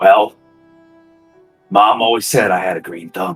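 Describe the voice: A raspy, low-pitched put-on character voice at a moderate pace, with faint music in the background.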